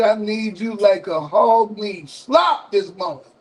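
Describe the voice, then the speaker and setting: Speaking with an American accent, a man uses a high pitch. His pace is very slow. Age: 60s. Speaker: radio call-in show host. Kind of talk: live call-in broadcast.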